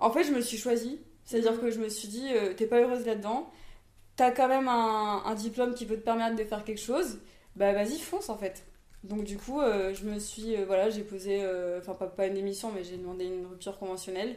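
A woman speaks in a dark, mellow tone. There is audible room echo. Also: fairly high pitch for a woman, ordinary pitch variation, fairly quick pace. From Réunion (from age 8, born in Toulouse). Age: 20s. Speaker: entrepreneur, former nurse. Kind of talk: casual interview chat. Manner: hesitant, many fillers.

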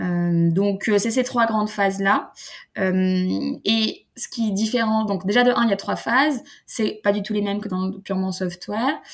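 On a very clean recording with a silent background, a woman speaks at a fairly slow pace. Her voice is somewhat breathy. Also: medium pitch for a woman, ordinary pitch variation. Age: 30s. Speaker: startup founder and industry association president. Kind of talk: interview.

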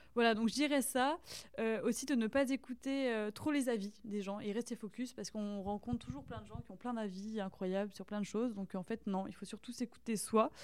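This woman's voice sits fairly high, moves at a moderate pace and shows ordinary pitch variation. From France, rural Burgundy (Saône-et-Loire). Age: young. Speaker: artist. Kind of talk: casual interview chat. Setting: artist's studio. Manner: halting.

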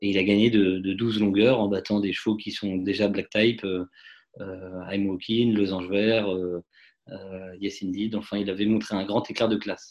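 Against a quiet background, a man speaks fairly slowly in a fairly low pitch with monotone, flat intonation. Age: 30s. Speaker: racehorse owner and dentist. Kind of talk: interview. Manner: halting, many repetitions and fillers.

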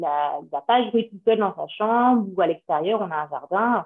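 A woman speaks at a fairly slow pace. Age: 30s. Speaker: mother seeking parenting coaching. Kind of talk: casual chat. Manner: halting.

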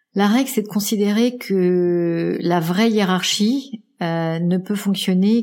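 The woman's tone is dark and mellow. She talks fairly slowly. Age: 50s. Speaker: executive coach and podcaster. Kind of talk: interview. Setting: at home.

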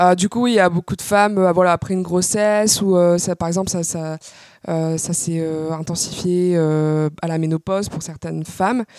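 In a plain, everyday voice, a woman speaks at a moderate pace and a fairly low pitch, her intonation fairly even. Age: 20s. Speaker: patient sharing her illness experience. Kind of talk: interview testimony.

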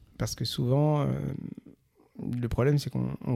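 A man speaks at a moderate pace in a dark, mellow tone. The sound is dry and close, with no echo. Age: 40s. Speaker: entrepreneur. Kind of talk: interview.

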